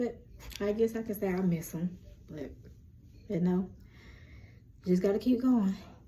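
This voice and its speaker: At a moderate pace with long, frequent pauses, a woman speaks at a medium pitch with ordinary pitch variation and a dark, mellow, somewhat breathy tone. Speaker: lifestyle and spirituality vlogger. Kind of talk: casual chat. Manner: animated.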